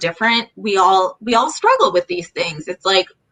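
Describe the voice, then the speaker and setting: At a moderate speed, a woman talks with a medium pitch. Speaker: chronic illness advocate and blogger. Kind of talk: casual interview chat. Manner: halting, self-correcting.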